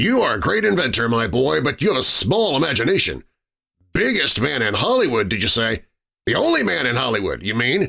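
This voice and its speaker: In a put-on character voice, a man of medium pitch talks at a fairly quick pace with very even loudness. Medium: read story. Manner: eager, scheming.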